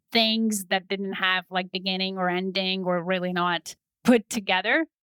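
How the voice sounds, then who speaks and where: A woman speaks at a moderate pace in a medium-pitched voice with ordinary pitch variation. The sound is dry and close, with no echo. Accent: Polish. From Poland. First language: Polish. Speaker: business and leadership coach. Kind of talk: interview.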